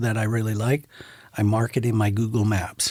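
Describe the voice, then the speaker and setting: Here a man talks at a medium pitch with an American accent. His voice is somewhat breathy, with monotone, flat intonation. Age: 60s. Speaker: photographer. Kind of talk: casual chat.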